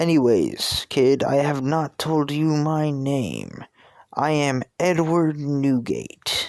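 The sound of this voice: A put-on character voice at a very slow pace, with very even loudness, fairly even intonation, and a very clean recording over a silent background. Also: man, fairly high pitch for a man.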